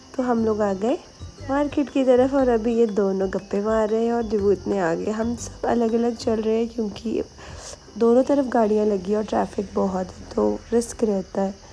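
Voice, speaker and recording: Over noticeable background noise, a woman speaks at a fairly slow pace with a fairly high pitch and fairly even intonation. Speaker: vlogger. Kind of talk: casual vlog narration.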